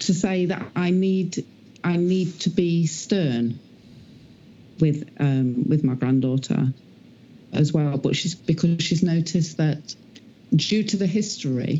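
At a slow pace, a woman speaks low in pitch with ordinary pitch variation and a dark, mellow tone.

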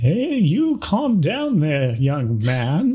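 A man's put-on character voice, fairly high in pitch.

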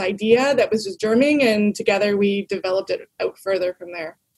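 With a Canadian accent, a woman speaks in a normal speaking voice. Her pitch is fairly high, and her pace fairly quick. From Toronto, Canada. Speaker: tech company guest, documentary filmmaker. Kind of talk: casual interview chat. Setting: video call.

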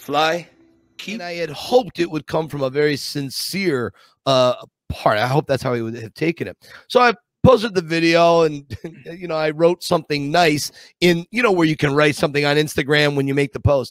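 An animated man with fairly high pitch, lively intonation and a fairly quick pace, in a dry, close sound with no echo. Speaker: podcast host. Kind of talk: casual chat.

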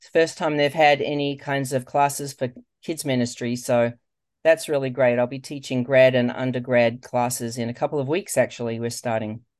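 Over a quiet background, a woman speaks at a fairly quick pace, her pitch very deep and low. Her intonation is fairly even, while her loudness swings widely. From Australia. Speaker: children's ministry leader and author. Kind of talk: interview.

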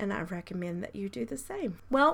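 A woman talks at a medium pitch and a moderate pace, with a fairly bright tone. Her voice has vocal fry and big pitch swings.

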